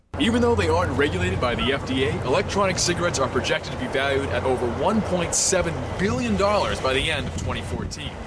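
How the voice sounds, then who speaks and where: At a very fast pace with hardly any pauses, a man speaks in a fairly high pitch with very wide pitch swings over noticeable background noise. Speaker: news reporter and anchor. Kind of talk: TV news report.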